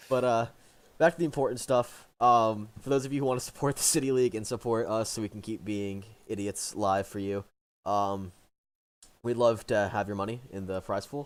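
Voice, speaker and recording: In a very clean recording with a silent background, a man with an American accent and an unremarkable speaking voice talks at a moderate pace with medium pitch and ordinary pitch variation. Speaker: esports caster. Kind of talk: live commentary.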